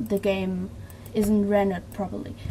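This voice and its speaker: This is a woman speaking. She has a German accent. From Germany. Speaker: video tutorial creator. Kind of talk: tutorial. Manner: halting.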